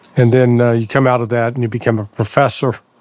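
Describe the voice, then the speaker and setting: Amid noticeable background noise, a man with an American accent speaks at medium pitch. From United States. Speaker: podcast host, ex-intelligence analyst. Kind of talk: interview.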